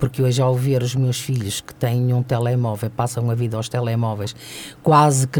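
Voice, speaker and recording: Moderate pace against noticeable background noise. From Custóias, Porto area, northern Portugal. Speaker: fado singer, retired TV station worker. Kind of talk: radio interview. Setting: radio studio.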